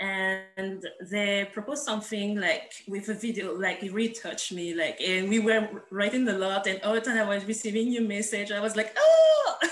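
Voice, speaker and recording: A woman with a French accent and fairly even intonation, amid noticeable background noise and audible room echo. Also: medium pitch for a woman, moderate pace. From France. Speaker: artist and curator. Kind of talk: casual introduction on video call. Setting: video call.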